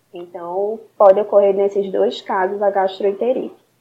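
A woman is speaking. Her pace is fairly slow. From Recife, Brazil. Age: 20s. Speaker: nutritionist. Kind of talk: interview.

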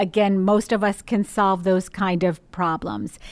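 The voice belongs to a woman. It is a very clean recording with a silent background. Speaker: speech pathologist. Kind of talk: expert interview, explanatory.

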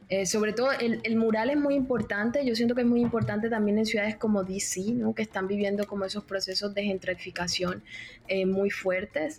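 Noticeable background noise sits behind a woman talking at a fairly quick pace. Her medium pitch has ordinary variation, and her loudness stays very even. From Caribbean Colombia, Cartagena. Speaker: literature doctoral student. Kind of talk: interview conversation. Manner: hesitant, many fillers.

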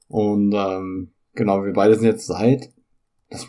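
Speaking fairly slowly, a man has a dark, mellow tone. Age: 30s. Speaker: podcast co-host and gamer. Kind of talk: casual chat.

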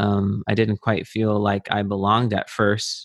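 A man speaks at a fairly slow pace. His pitch is fairly low. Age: 30s. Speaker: composer and percussionist. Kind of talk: casual interview chat. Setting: video call. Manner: halting, with a stutter.

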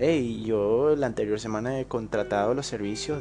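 Music plays in the background as a man speaks at a moderate pace. His pitch is fairly low. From Bolivia. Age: 20s. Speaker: podcaster. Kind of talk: casual monologue. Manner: halting.

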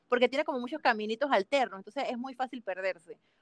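A fairly high-pitched woman with a Panamanian accent, in a dry, close sound with no echo. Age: 20s. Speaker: mountaineer. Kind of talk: casual interview.

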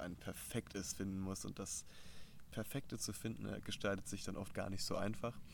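There is vocal fry in this man's fairly low voice. He speaks at a moderate pace with ordinary pitch variation. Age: 20s. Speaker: mental coach and leadership trainer. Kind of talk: casual interview. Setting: outdoors in a garden.

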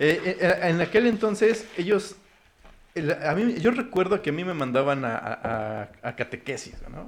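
Pitch swinging very widely, a man keeps to a moderate pace. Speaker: podcast co-host. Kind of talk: casual chat.

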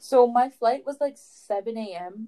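Very slowly, a woman speaks with a Canadian accent. Her tone is dark and mellow, with ordinary pitch variation. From Canada. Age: 20s. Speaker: podcast co-host. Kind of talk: casual chat. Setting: video call.

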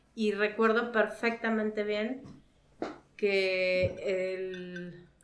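Room echo can be heard clearly. A woman is talking. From Mexico, León, Guanajuato. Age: 40s. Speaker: mother. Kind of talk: casual chat.

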